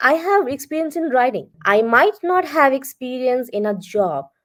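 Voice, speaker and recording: Delivered in a confident tone, the voice makes very wide pitch swings. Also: woman, very clean recording, silent background. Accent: Bengali. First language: Bengali. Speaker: freelance content writer. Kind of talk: interview.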